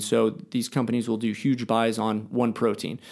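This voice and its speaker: A man of medium pitch with vocal fry and an American accent, in a very clean recording with a silent background. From United States. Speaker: triathlete and supplement business owner. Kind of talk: casual interview chat. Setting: studio.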